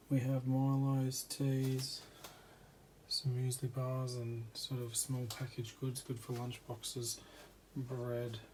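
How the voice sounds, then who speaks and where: In an Australian accent, a soft-spoken, somewhat breathy voice moves at a very slow pace with monotone, flat intonation. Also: man, medium pitch for a man. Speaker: vlogger. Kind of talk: casual home tour vlog. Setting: at home at night. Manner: quiet, soft-spoken.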